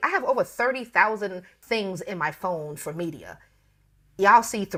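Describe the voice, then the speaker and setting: The speaker has an American accent, lively intonation, and a moderate pace. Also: woman. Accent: Bronx accent with occasional Southern twang. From US Northeast, the Bronx, New York. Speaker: personal chef. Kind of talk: casual interview chat. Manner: informal, not prim and proper.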